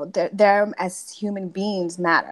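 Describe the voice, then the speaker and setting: A woman speaks with a Spanish accent at a medium pitch. The recording is very clean, with a silent background. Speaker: teacher. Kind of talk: panel discussion. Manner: halting, many restarts.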